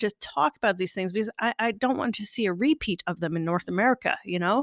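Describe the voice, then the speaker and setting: In a very clean recording with a silent background and a dry, close sound with no echo, a woman speaks with a Canadian accent. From Canada. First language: French. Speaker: podcast host. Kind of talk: casual interview.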